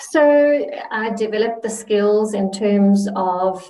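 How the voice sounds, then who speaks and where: There's audible room echo around a woman speaking at a medium pitch. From South Africa (early years Zimbabwe). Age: 40s. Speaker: interview guest, abuse survivor. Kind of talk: interview, personal life story.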